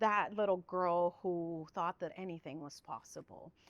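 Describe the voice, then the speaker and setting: A woman's fairly low pitch at a moderate pace over noticeable background noise. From Guatemala, moved to Southern California as a child. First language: Spanish. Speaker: public information officer, former TV reporter. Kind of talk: podcast interview.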